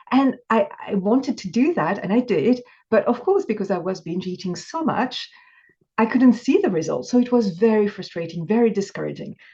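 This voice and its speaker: In a French accent, a woman with a fairly high pitch and a dark, mellow tone speaks at a moderate pace, somewhat breathy, with lively intonation. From France. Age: 50s. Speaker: binge eating coach. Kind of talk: interview.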